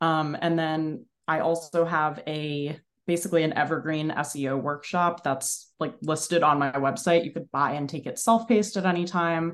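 Against a quiet background, a woman with an American accent talks at a moderate pace in a very deep, low voice with ordinary pitch variation. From New Jersey, Bergen County. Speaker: content creator. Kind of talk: casual interview chat.

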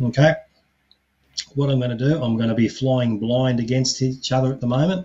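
A man's somewhat breathy, medium-pitched voice with fairly even intonation. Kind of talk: guided meditation.

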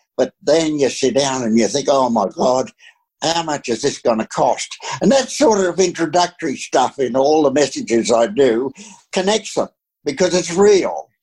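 A man with an Australian accent speaks at a fairly high pitch. He keeps a moderate pace with lively intonation. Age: 80s+. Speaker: retired pastor. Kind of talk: interview.

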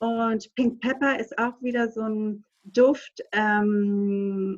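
A woman speaks with a somewhat breathy voice. Her pitch is fairly high, with ordinary pitch variation. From Greece, small island. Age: 30s. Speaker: aromatherapy advisor. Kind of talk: casual chat.

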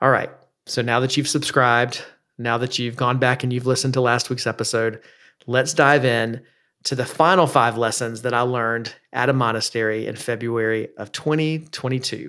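In a very clean recording with a silent background, a man with a medium pitch and a bright, sharp tone speaks at a moderate pace with fairly even intonation. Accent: American. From US South. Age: 40s. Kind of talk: devotional teaching monologue. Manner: frequent filler words (uh, um).

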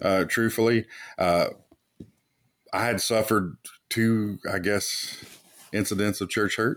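In a Kentucky accent, a man speaks at a fairly slow pace with a fairly low pitch, monotone, flat intonation and long, frequent pauses, on a very clean recording with a silent background. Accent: Kentucky Southern US. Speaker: church planter and pastor. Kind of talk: casual interview.

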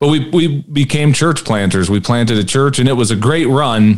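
A man with a Midwestern American accent talks at a moderate pace with lively intonation. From US Midwest, Peoria Illinois. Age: 40s. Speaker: pastor and former firefighter. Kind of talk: casual chat.

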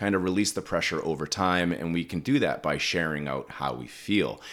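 The recording is very clean with a silent background, and the man's voice is very deep and low. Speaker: parenting podcast host, educational psychologist. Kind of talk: casual conversational podcast chat. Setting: home makeshift studio. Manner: animated, jokey.

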